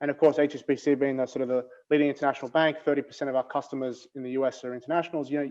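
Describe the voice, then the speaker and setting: Speaking at a very fast pace, a man has a fairly high pitch and a dark, mellow tone. His intonation is monotone, flat. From Australia. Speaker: bank innovation executive, panelist. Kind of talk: panel discussion. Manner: hesitant, many fillers and repeats.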